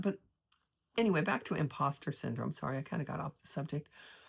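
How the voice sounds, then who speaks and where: In a very clean recording with a silent background, a woman speaks with lively intonation and vocal fry. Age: 70s. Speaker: artist and vlogger. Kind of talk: casual personal monologue. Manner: halting, many restarts.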